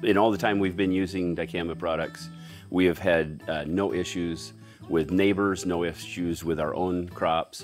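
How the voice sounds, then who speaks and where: Clear music plays in the background. Over it, a man speaks at a fairly slow pace with fairly even intonation. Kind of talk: interview answer. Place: open country. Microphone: lapel.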